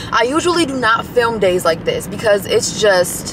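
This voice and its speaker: With very wide pitch swings, a woman speaks in a dry sound with no echo amid noticeable background noise. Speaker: vlogger. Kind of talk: casual vlog chat. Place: car. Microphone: phone near.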